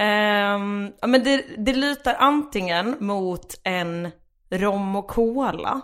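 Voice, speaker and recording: On a very clean recording with a silent background, a woman speaks at a very slow pace with medium pitch and ordinary pitch variation. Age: 20s. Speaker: stand-up comedian. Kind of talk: casual chat.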